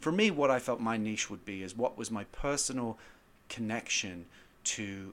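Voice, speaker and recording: Medium-pitched male speech with an American accent, moderate pace and ordinary pitch variation, on a very clean recording with a silent background. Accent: British with slight American twang. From northern England. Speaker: screenwriter guest. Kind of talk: casual interview and film discussion.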